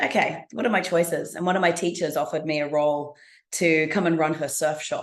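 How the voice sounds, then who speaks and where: In a quiet background, a woman talks with an Australian accent. Her voice is very deep and low, with fairly even intonation. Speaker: business speaker. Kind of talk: interview.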